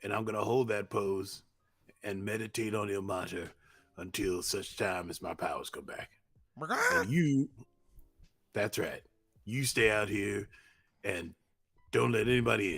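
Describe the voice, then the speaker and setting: A man puts on a raspy character voice, fairly low in pitch, at a moderate pace. He leaves long, frequent pauses, and the recording is very clean with a silent background. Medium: actual play. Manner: self-talking, theatrical.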